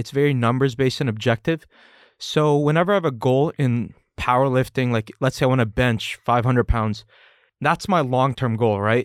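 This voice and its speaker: A man with an unremarkable speaking voice talks at a fairly quick pace, fairly high in pitch with ordinary pitch variation. The recording is very clean with a silent background and a dry, close sound with no echo. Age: 20s. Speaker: powerlifter and software salesman. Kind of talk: casual podcast interview.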